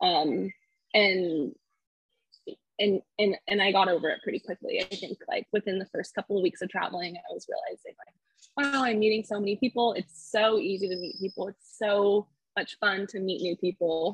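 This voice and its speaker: A woman with a Californian accent speaks at a moderate pace, somewhat breathy, with ordinary pitch variation. The sound is dry and close, with no echo. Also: medium pitch for a woman. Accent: Californian American English. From California, Fresno area. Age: 20s. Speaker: solo traveler and speech-language pathologist. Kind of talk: interview, casual chat.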